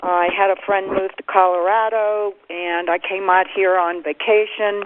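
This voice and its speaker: A woman's medium-pitched voice with an American accent, fairly slow and monotone in its flat intonation, over noticeable background noise. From Pennsylvania, US. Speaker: pioneering ultramarathon runner. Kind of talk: conference call reminiscence. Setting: phone conference call.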